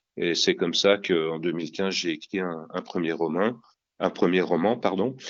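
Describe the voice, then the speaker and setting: The man keeps his intonation fairly even, his voice pitched very deep and low. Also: moderate pace. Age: 60s. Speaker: crime novelist. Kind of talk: interview. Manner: halting.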